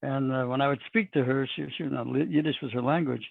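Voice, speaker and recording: A man with a Texan accent. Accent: Texan American English. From Texas. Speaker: rabbi. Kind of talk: interview.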